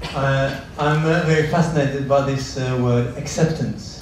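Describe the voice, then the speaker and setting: A voice with a Norwegian accent comes through audible room echo and noticeable background noise. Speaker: translator, audience member. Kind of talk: audience question at a public lecture. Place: hall.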